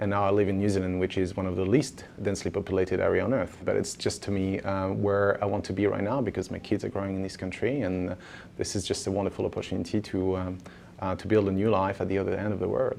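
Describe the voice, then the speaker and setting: Over a quiet background, a man with a French accent speaks at a very fast pace and fairly low pitch in a monotone, flat intonation. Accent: French accent, obvious. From France. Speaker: former banker, startup founder. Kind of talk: interview. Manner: hesitant, many fillers.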